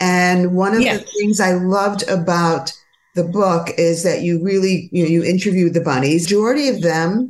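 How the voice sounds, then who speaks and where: Her voice is a normal speaking voice at a medium pitch. The woman talks at a moderate pace with ordinary pitch variation. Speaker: podcast host, gynecologist. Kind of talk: interview conversation.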